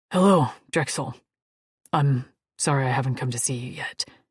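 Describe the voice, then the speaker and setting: This is a put-on character voice, raspy and low-to-middle in pitch. It moves at a moderate pace. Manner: reverent, murmuring.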